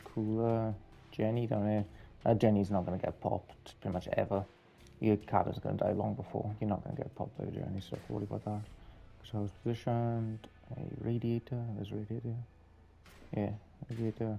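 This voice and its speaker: Quiet and monotone, with flat intonation, a man speaks at a fairly low pitch and a fairly quick pace with long, frequent pauses as music plays in the background. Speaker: gaming video creator. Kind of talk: gameplay commentary. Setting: home, late at night. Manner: quiet, subdued.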